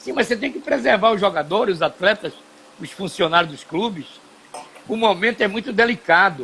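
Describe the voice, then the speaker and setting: Over noticeable background noise, a man with a high pitch speaks in a raised, projected voice at a fairly quick pace, with very wide pitch swings, big swings in loudness, and long, frequent pauses. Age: 70s. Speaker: TV and radio broadcaster, former footballer. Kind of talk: live stream conversation. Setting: home studio.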